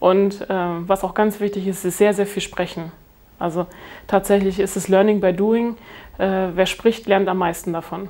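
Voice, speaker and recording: Speaking fairly slowly, this woman keeps a monotone, flat intonation. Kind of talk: interview answer. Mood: calm, content.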